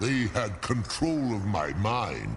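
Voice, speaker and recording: Using a put-on character voice, a man talks fairly slowly at a medium pitch over clear background noise. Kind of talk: archaic epic speech. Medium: video game. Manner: formal, grave, measured.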